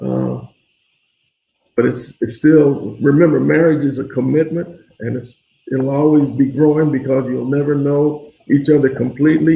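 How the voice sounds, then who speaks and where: Somewhat breathy and dark, mellow in tone, a man's voice sits at a fairly high pitch. He keeps a moderate pace with fairly even intonation. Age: 60s. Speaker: father of the host. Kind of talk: casual interview. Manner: soft-spoken.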